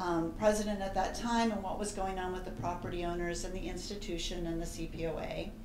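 Over noticeable background noise, a woman speaks at a fairly quick pace. Her intonation stays fairly even. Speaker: presenter. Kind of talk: formal introduction to an audience. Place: hall.

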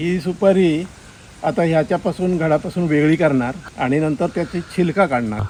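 Here is a man's plain, everyday voice. It sits at a fairly high pitch with ordinary pitch variation. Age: 60s. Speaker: farmer. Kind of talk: interview. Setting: outdoors in an areca nut orchard.

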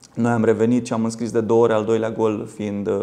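A dark, mellow tone with flat, monotone intonation. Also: man. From Romania. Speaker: football coach and former lawyer; football coach, former lawyer. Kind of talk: studio interview. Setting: TV studio. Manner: halting, repeats words. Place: studio. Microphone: lapel.

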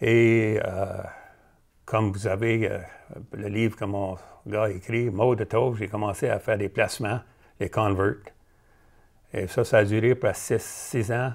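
Very slowly and with long, frequent pauses, a man speaks in a fairly low, flat monotone against a quiet background. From Cornwall, Ontario (Franco-Ontarian); Ontario. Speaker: retired professional football player; interview guest. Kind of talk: interview. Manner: halting, many fillers and repeats. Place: studio. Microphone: lapel.

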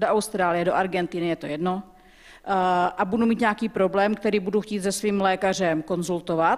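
Moderate-paced speech from a woman with ordinary pitch variation and a quiet background. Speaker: audience member with diabetes; audience member. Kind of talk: audience question. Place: hall.

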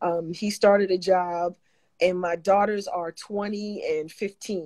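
A woman with an American accent speaks at a fairly slow pace against a quiet background. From New York. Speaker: gospel singer; guest. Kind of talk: casual chat. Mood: warm, animated testimony. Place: home room. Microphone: video call.

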